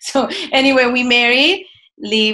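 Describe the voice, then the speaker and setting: This woman's voice sits high in pitch and has a bright, sharp tone. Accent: Korean. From South Korea. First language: Korean. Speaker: marriage and family therapist. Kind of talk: interview conversation.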